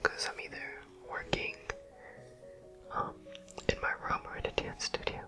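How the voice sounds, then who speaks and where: A man whispers at a moderate pace, and noticeable background noise can be heard too. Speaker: dance teacher; ASMR creator. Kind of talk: ASMR travel vlog narration. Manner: soft-spoken.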